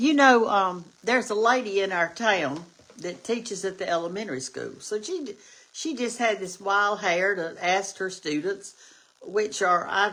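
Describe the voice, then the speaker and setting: A woman with an Alabama accent, medium in pitch, at a fairly slow pace, her tone animated, bright and sharp, her intonation lively. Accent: Southern US (Alabama). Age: 70s. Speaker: cooking show host. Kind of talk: casual livestream chat.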